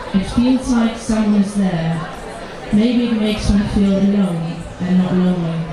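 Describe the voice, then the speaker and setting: A woman speaks at a fairly slow pace with very even loudness. Crowd noise can be heard in the background. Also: medium pitch for a woman, ordinary pitch variation. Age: young. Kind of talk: poetry reading. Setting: outdoors live stage.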